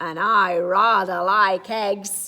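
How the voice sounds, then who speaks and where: Using a put-on character voice, a woman speaks at a medium pitch with monotone, flat intonation. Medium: read story. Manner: cheerful, unflappable.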